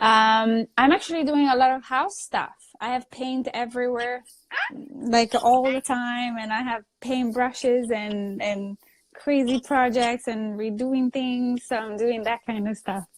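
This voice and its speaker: The speaker has an Italian accent and fairly even intonation. The pace is fairly slow. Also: woman, high pitch for a woman. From Italy (Sicily). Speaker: actress. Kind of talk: casual chat. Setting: Instagram live video stream.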